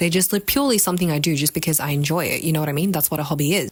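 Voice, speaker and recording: There is noticeable background noise as a woman speaks at a fairly low pitch. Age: 20s. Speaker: video blogger. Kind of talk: casual monologue. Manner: casual, filler-heavy; halting.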